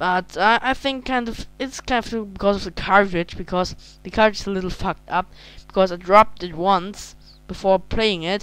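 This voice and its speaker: A woman with a German accent at a moderate pace, medium pitch and ordinary pitch variation. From Germany. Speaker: video game reviewer. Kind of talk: casual game review. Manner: halting.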